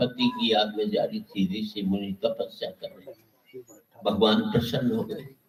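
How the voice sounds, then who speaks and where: A man is speaking. His pitch swings very widely. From Haryana. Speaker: comic poet. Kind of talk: humorous poetry stage performance.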